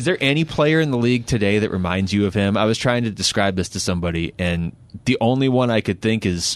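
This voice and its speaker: An ordinary speaking voice from a man, fairly low in pitch with ordinary pitch variation, at a fairly quick pace over a quiet background. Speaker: podcast host. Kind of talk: casual chat.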